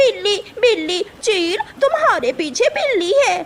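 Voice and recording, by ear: In a cartoonish character voice, a woman speaks very slowly at an extremely high pitch with very wide pitch swings.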